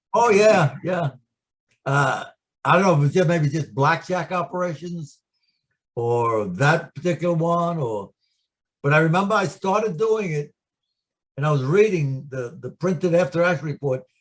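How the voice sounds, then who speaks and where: In a New York accent, a high-pitched man speaks at a moderate pace with lively intonation and long, frequent pauses, on a very clean recording with a silent background. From New York City. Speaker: war veteran. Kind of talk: oral history interview.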